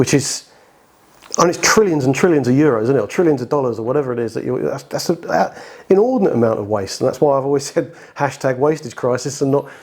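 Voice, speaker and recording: The man's voice is fairly high in pitch. He talks very fast. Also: ordinary pitch variation. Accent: British. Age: 50s. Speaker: heating design engineer. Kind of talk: podcast interview. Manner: halting, many repeated words.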